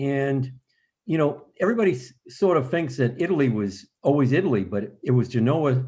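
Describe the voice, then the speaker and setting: Against a quiet background, a man speaks at a moderate pace and medium pitch in a somewhat breathy, dark, mellow voice with ordinary pitch variation. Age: 70s. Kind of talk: panel discussion on video call.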